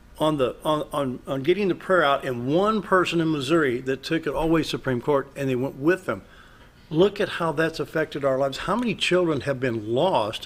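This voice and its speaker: A man talks at a moderate pace in a normal speaking voice. His pitch is fairly high, with ordinary pitch variation. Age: 60s. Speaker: radio talk show host. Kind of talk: political talk show discussion.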